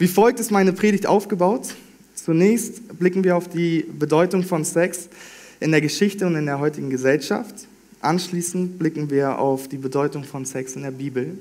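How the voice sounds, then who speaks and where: A man with a high-pitched voice. His pitch moves in an ordinary way. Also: moderate pace. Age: 20s. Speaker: trainee pastor. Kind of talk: sermon.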